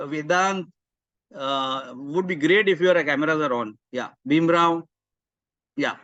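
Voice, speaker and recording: A man with an Indian accent, a fairly high pitch and a bright, sharp tone, fairly slow with long, frequent pauses and ordinary pitch variation. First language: Marathi. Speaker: career mentor. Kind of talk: webinar talk. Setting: video call. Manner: animated.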